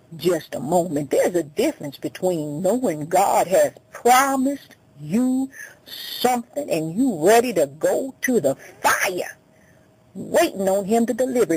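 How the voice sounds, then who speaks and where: With very wide pitch swings, a woman talks fairly slowly while noticeable background noise runs underneath. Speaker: radio preacher. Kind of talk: sermon preached on radio.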